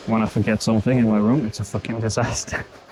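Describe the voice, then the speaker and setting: Over music in the background, a man speaks at a moderate pace with monotone, flat intonation. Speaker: bodybuilder and fitness coach. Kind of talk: gym vlog, casual self-talk. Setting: gym. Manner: breathy, panting between phrases.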